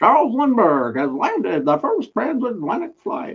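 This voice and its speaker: A man puts on a character voice pitched extremely high. His pitch swings very widely. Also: moderate pace. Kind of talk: formal announcer.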